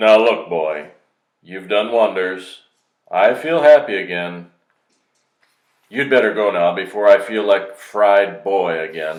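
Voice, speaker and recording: In a gruff put-on character voice, a man speaks at a fairly low pitch and fairly slow pace with long, frequent pauses. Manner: gruff, softened by happiness.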